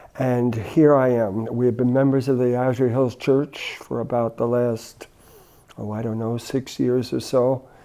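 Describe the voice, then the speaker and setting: A man with an American accent, medium in pitch, with monotone, flat intonation. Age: 70s. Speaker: retired chaplain and minister. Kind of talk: casual interview conversation.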